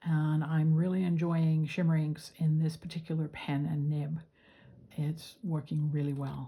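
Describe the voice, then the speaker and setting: Speaking at a fairly slow pace, a woman uses a very deep, low pitch, a dark, mellow, somewhat breathy tone and monotone, flat intonation. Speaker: fountain pen hobbyist. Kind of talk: casual talk to camera.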